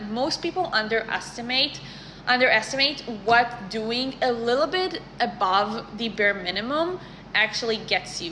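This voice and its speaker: A woman speaks at a moderate pace in a fairly high pitch with a non-native accent, over noticeable background noise. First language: not English. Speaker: career content creator. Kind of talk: casual advice talk to camera. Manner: conversational, some self-corrections.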